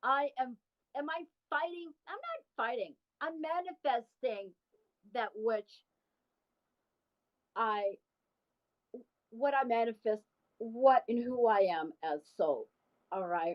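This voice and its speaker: Very slow and broken by long, frequent pauses, a woman's high voice swings very widely in pitch. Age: 60s. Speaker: spiritual advisor. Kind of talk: live stream monologue. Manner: halting.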